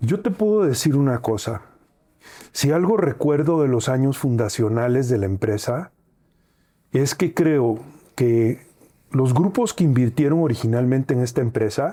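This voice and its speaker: Pausing long and often, a man speaks at a fairly slow pace with lively intonation, a dark, mellow tone and very even loudness. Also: medium pitch for a man. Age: 60s. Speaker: airline founder and CEO. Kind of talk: interview.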